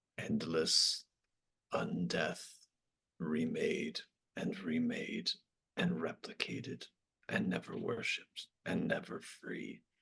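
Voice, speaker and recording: A man speaks in a put-on character voice. His delivery is at a very slow pace with long, frequent pauses. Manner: begging, pleading.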